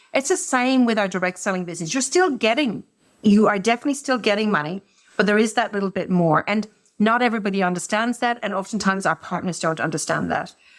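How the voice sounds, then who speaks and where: A woman's medium-pitched voice with an Irish accent, very fast in pace and lively in intonation. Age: 50s. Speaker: business executive. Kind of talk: podcast interview.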